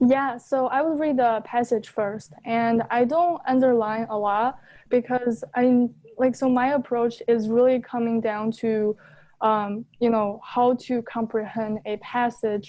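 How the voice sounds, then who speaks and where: Delivery comes at a fairly slow pace. The intonation stays fairly even. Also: woman, fairly high pitch for a woman. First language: not English. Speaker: LSAT student seeking coaching. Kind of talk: coaching session conversation.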